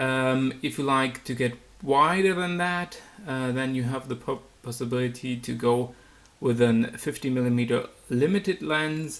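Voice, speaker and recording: Someone with a German accent speaks at a fairly slow pace. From Germany. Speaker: photography YouTuber. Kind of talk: product review. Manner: halting, many fillers.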